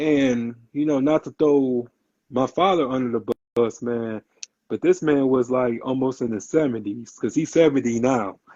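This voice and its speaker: A man's plain, everyday voice at medium pitch, with ordinary pitch variation and a moderate pace. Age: 30s. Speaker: podcast guest. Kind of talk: casual podcast interview.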